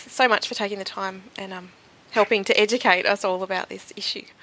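Speaking at a moderate pace, a woman with an ordinary speaking voice and medium pitch shows ordinary pitch variation and big swings in loudness. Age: 30s. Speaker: podcast host. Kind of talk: interview.

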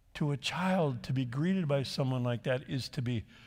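A somewhat breathy voice with an American accent moves at a fairly slow pace with lively intonation. The recording is very clean, with a silent background. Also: man. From southern California. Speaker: pastor. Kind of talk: sermon.

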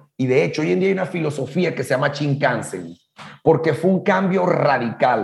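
The man has an unremarkable speaking voice with a fairly high pitch and lively intonation. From Latin America. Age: 50s. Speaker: business coach. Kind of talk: casual chat.

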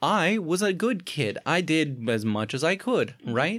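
His pitch swings very widely. This man talks fairly slowly, his voice showing vocal fry. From Alaska. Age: 20s. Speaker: comedian. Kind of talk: casual chat.

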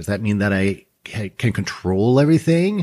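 Speaking at a moderate pace with lively intonation, a man has a fairly low pitch and an unremarkable speaking voice in a very clean recording with a silent background. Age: 50s. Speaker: trading educator and podcast host. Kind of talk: solo podcast monologue. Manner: conversational with frequent fillers.

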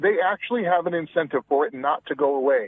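A man speaks at a fairly quick pace in a normal speaking voice, his pitch fairly high. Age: 40s. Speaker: author. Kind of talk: casual chat.

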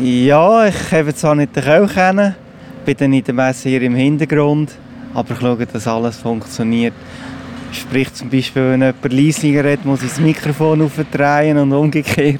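Noticeable background noise sits behind a man speaking at a moderate pace. His pitch is fairly high and varies in an ordinary way. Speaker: church sexton and caretaker. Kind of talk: casual interview.

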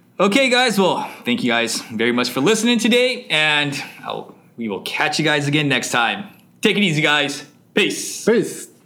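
In a room with audible echo, a man with a fairly high pitch speaks at a fairly slow pace, his pitch swinging very widely. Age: 30s. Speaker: English conversation school founder. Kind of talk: interview. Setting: studio.

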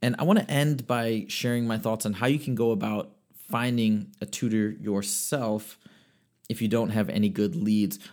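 In a very clean recording with a silent background, a man speaks at a moderate pace in a medium-pitched voice with lively intonation. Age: 30s. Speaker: podcast host and math tutor. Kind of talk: casual monologue. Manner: halting, with frequent repetitions.

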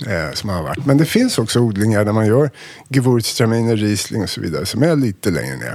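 Speaking at a very fast pace, the man has a fairly low pitch and lively intonation. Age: 50s. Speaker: wine importer. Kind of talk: casual chat.

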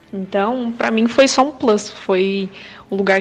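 A woman varies her pitch in an ordinary way as noticeable noise sounds in the background. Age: 20s. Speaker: video editor, church member. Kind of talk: testimony.

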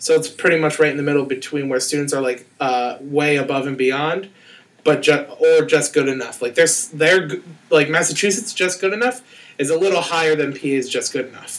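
A man speaks in a normal speaking voice, fairly high in pitch. His pitch varies in an ordinary way, and his pace is fairly quick. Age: 20s. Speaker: school teacher. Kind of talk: casual chat.

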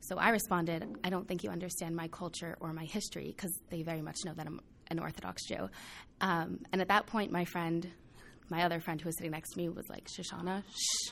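Recorded very cleanly against a silent background, a woman speaks with vocal fry, a fairly low pitch and fairly even intonation. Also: fairly quick pace. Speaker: college student. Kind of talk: group discussion.

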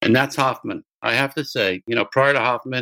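In a very clean recording with a silent background and a dry, close sound with no echo, a man with an American accent and a normal speaking voice talks at a medium pitch with fairly even intonation. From US. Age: 60s. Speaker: music producer and sports agent. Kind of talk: interview.

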